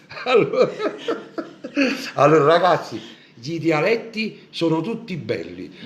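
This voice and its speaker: A man with a Neapolitan accent talks at a fairly slow pace, leaving long, frequent pauses. Noticeable background noise runs under his words. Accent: Neapolitan Italian. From Naples, Italy. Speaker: Neapolitan singer hosting a live show. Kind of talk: casual live-stream chat. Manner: animated.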